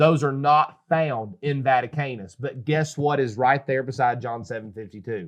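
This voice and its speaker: A man with a North Carolina accent talks at a moderate pace and medium pitch, in an animated tone with hardly any pauses. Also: ordinary pitch variation. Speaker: pastor. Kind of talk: casual religious discussion. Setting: studio.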